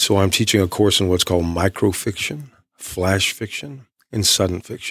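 In a plain, everyday voice with an American accent, a man speaks at a moderate pace, fairly low in pitch with ordinary pitch variation, on a very clean recording with a silent background. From East Texas. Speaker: author and creative writing professor. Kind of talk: radio interview.

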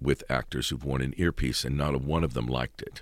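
At a moderate pace, a man speaks with a very deep, low pitch and vocal fry. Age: 50s. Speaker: stage actor. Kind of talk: interview. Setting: studio.

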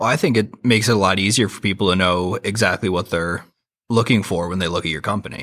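A man speaks very fast in a fairly low pitch. His pitch varies an ordinary amount. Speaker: podcast host. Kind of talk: interview podcast hosting.

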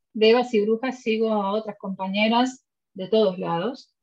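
A woman with a normal speaking voice, a fairly high pitch and a fairly slow pace. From Puerto Rico. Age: 40s. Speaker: podcast host, lawyer. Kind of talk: casual interview chat.

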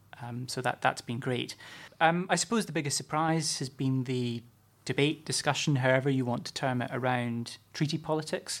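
A man with a Scottish accent at a medium pitch and ordinary pitch variation, in a very clean recording with a silent background. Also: moderate pace. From Scotland, Fife area. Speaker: campaigns manager, former councillor. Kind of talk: interview. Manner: hesitant, many fillers.

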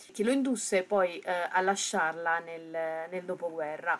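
A woman's unremarkable speaking voice at medium pitch, fairly slow, with ordinary pitch variation. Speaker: podcast host. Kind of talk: radio-style presentation.

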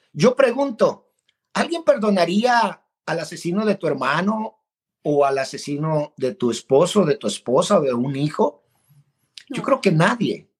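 A man speaks at a high pitch and a fairly slow pace, with very wide pitch swings. The sound is dry and close, with no echo. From Mexico, Guadalajara (born in El Salvador). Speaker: marriage counselor and coach. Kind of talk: interview.

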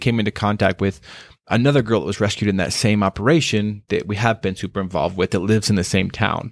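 In an American accent, a man with a plain, everyday voice talks at a fairly quick pace with ordinary pitch variation, the sound dry and close with no echo on a very clean recording with a silent background. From Wyoming, US. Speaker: anti-trafficking worker. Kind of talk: interview.

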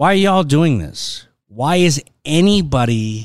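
A man with a Californian accent speaks very slowly, his intonation lively. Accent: Californian American. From Los Angeles, San Fernando Valley. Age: 40s. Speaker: film and TV executive, former actor. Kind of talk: casual interview.

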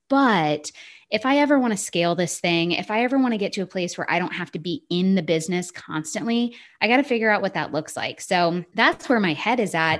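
The speech moves at a fairly quick pace with lively intonation. The tone is animated. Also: woman, medium pitch for a woman. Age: 30s. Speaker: business consultant and founder. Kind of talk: casual chat.

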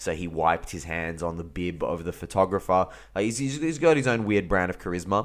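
A man with a very deep, low pitch and an Australian accent talks at a fairly quick pace with lively intonation. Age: 30s. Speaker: football podcaster. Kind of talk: casual solo commentary. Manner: animated.

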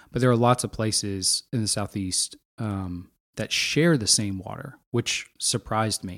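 A man with an unremarkable speaking voice, an American accent, a medium pitch and ordinary pitch variation, in a very clean recording with a silent background and a dry, close sound with no echo. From Pennsylvania. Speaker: podcast host. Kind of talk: interview conversation.

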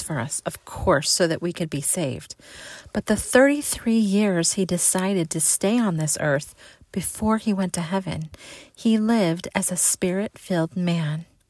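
In an ordinary speaking voice, a woman talks at a moderate pace and medium pitch with ordinary pitch variation, on a very clean recording with a silent background. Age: 40s. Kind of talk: devotional talk. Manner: warm, earnest.

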